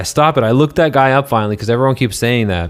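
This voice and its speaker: Noticeable noise sits in the background. A man talks over it. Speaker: livestreamer. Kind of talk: casual chat.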